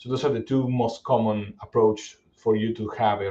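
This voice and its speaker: Speaking at a fairly low pitch, a man with a dark, mellow tone holds a monotone, flat intonation. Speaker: cybersecurity executive presenter. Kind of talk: webinar presentation. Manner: fast; halting, many repetitions.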